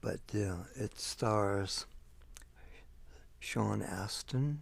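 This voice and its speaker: Soft-spoken and somewhat breathy, a man talks in a fairly low pitch. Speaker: ASMR creator. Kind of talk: casual talk to camera, showing a video collection.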